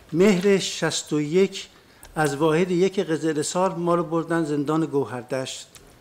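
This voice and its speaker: Against noticeable background noise, a man speaks very slowly at a fairly high pitch with ordinary pitch variation. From northern Iran, Lahijan, then Tehran. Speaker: witness, former political prisoner. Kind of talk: court testimony. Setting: courtroom.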